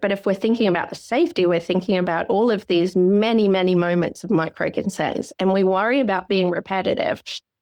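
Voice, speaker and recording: With an Australian accent, a woman talks at a fairly quick pace. Her pitch is medium, with ordinary variation. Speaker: psychologist. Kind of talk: podcast interview. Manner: fast; animated.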